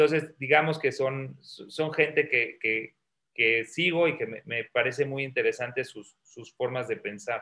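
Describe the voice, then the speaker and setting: In a bright, sharp tone, a man speaks at a fairly slow pace and medium pitch with ordinary pitch variation and big swings in loudness. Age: 40s. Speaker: entrepreneur, startup founder. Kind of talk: interview.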